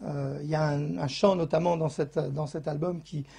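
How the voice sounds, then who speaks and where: Against a quiet background, a man speaks at a fairly high pitch with a dark, mellow tone. His voice is somewhat breathy and his pace fairly slow. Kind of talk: interview. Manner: expressive, animated; hesitant, many fillers.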